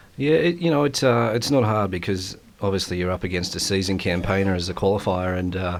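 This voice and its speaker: Very fast talk from a man with an Australian accent, very deep and low in pitch, with ordinary pitch variation. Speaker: bowls player and guest commentator. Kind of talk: live sports commentary. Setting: commentary box. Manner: hesitant, many fillers.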